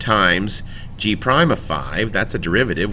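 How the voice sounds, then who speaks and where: Audible room echo surrounds a man whose voice moves in very wide pitch swings. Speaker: high school math teacher. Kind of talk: recorded lecture. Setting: recorded classroom video. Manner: fast.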